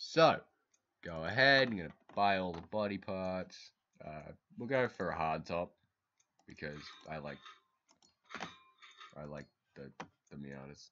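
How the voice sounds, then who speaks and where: A man speaks at a very deep, low pitch and a fairly slow pace, with long, frequent pauses. His intonation is lively, and his loudness swings widely. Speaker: gaming video creator. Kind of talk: casual gameplay commentary. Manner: halting, self-correcting.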